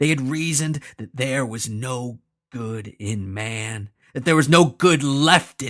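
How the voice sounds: Heard against a quiet background, the speech comes in a natural reading voice with ordinary pitch variation.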